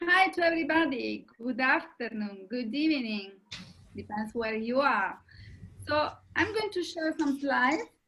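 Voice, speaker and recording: Speaking in an Italian accent at a fairly slow pace, a woman shows very wide pitch swings. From Italy. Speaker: coach and panelist. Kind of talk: webinar presentation.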